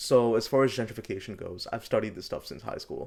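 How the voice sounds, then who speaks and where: Talking at a moderate pace, this man speaks with a New York accent. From New York City, Queens (Flushing). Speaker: podcast co-host. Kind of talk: casual chat.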